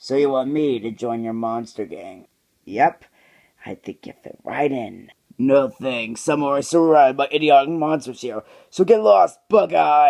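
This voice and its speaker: This man puts on a character voice. His pitch is medium and his pace moderate. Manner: snide, sarcastic.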